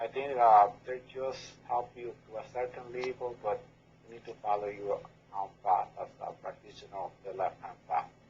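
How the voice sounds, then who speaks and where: A man with a medium pitch speaks at a moderate pace with fairly even intonation and big swings in loudness, over noticeable background noise. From Dominican Republic. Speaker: left-hand path practitioner. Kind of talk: podcast interview. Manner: halting.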